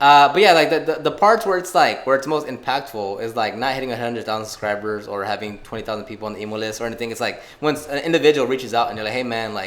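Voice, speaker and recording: Music plays in the background while a man mumbles. He talks at a very fast pace. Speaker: car detailing youtuber. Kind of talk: casual podcast interview. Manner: mumbling.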